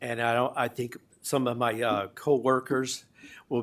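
On a very clean recording with a silent background, the words come at a moderate pace. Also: man. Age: 60s. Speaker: healthcare worker. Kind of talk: public comment. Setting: public board meeting. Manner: halting.

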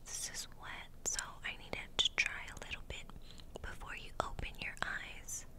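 A woman whispers at a fairly slow pace. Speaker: ASMR creator. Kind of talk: ASMR roleplay, friend doing your makeup. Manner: soft-spoken, whispery. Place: home room. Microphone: studio mic.

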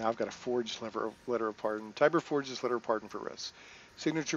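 Ordinary pitch variation runs through this plain reading aloud.

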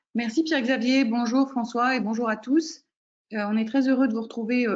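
An unremarkable speaking voice at a moderate pace, with fairly even intonation over a quiet background. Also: woman. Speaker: program director and coach. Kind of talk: webinar moderation. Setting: video call. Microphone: video call.

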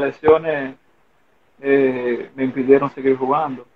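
Speaking in an ordinary speaking voice, a man at medium pitch takes a fairly slow pace. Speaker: former pro baseball player. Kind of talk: casual interview.

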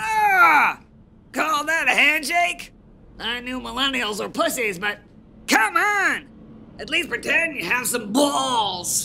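A high-pitched, cartoonish character voice speaks. Long pauses come frequently. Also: fairly slow pace. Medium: puppet. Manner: loud, abrasive, insulting.

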